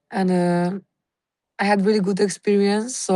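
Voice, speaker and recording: Intonation stays monotone and flat for this woman with a Slovenian accent. She keeps a moderate pace. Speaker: scuba diving instructor. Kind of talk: self-introduction. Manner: halting.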